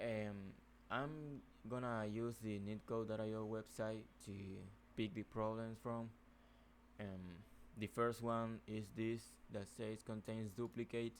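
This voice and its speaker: Speaking very slowly with long, frequent pauses, a man with a non-native accent keeps a fairly low pitch and a monotone, flat intonation. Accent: non-native English speaker. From Nicaragua. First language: Spanish. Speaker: software developer. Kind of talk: coding tutorial. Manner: hesitant, many fillers.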